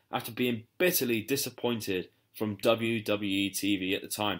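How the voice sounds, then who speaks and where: In a very clean recording with a silent background, a man speaks with a British accent. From UK. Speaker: wrestling podcast host. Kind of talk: podcast intro. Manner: animated.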